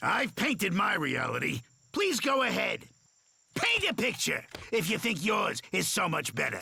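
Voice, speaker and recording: Using a cartoonish character voice, a man talks at a moderate pace with a high pitch. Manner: calm, unhurried.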